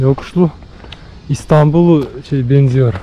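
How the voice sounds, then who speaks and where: Speaking at a very slow pace, a man uses a fairly high pitch with ordinary pitch variation, against noticeable background noise. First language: Russian or Bashkir (speaking Turkish). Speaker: travel vlogger. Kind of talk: casual walking tour vlog. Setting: outdoors. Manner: halting, many fillers.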